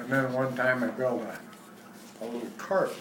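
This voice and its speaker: Noticeable background noise sits behind a man talking at a moderate pace in a medium pitch. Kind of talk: interview answer. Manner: reminiscing, casual.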